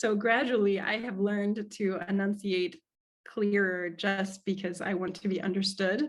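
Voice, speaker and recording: Fairly even intonation from a woman with an American accent. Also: medium pitch for a woman, moderate pace. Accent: American with slight French tinge. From US Midwest, Cincinnati. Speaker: speaking coach. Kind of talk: webinar Q&A answer.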